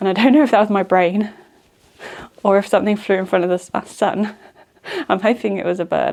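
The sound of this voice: Using a put-on character voice that is croaky and medium-pitched, a woman talks at a fairly quick pace broken by long, frequent pauses.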